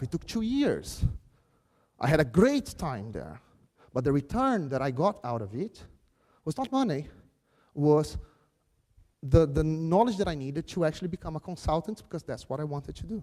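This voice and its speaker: With a Brazilian Portuguese accent, a man speaks at a fairly high pitch and a moderate pace in a dark, mellow tone, with very wide pitch swings and long, frequent pauses. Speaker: software craftsmanship speaker. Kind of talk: conference keynote.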